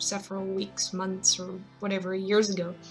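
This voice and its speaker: A woman at medium pitch with fairly even intonation, music in the background. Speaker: digital artist. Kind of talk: casual tutorial talk to camera. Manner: hesitant, casual.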